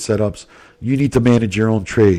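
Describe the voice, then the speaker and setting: A man talks at a moderate pace, his pitch medium with ordinary variation. The recording is very clean, with a silent background. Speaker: trading educator. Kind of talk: sales pitch; tutorial. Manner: hesitant, many filler words.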